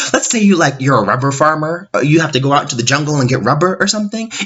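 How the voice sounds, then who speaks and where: Here a man is speaking. His pace is very fast. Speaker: K-pop commentator. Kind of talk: casual talk to camera. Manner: sarcastic.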